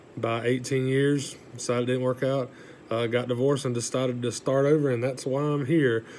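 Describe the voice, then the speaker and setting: Monotone, flat delivery from a man with a Southern US accent, medium pitch and a moderate pace. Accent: Southern US (Georgia). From US South, south Georgia. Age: 30s. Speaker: college student, newspaper editor. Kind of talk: class speech, self-introduction. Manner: casual, hesitant with fillers.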